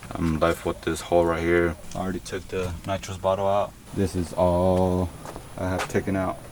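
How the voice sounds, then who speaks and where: The speech moves at a moderate pace in a flat monotone. Noticeable background noise runs underneath. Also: man, very deep, low pitch for a man. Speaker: car builder vlogger. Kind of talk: casual vlog tutorial.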